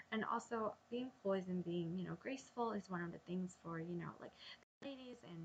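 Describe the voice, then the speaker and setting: Talking at a fairly quick pace, a woman with a medium pitch sounds somewhat breathy, her intonation lively. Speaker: vlogger. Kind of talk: casual vlog monologue. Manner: hesitant, many ums; halting with false starts.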